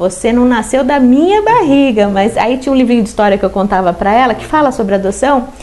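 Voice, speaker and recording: At a fairly quick pace with hardly any pauses, a woman talks at a high pitch with ordinary pitch variation over noticeable background noise. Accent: Paulista. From Osasco, São Paulo, Brazil. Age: 40s. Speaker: city councillor. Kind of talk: interview.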